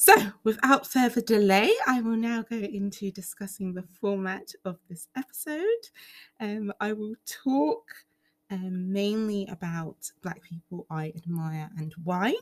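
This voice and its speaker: A somewhat breathy woman speaks at a fairly slow pace with ordinary pitch variation and big swings in loudness. The sound is dry and close, with no echo. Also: medium pitch for a woman. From England, Ugandan heritage. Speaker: solo podcaster. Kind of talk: casual monologue. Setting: recording at home. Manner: animated.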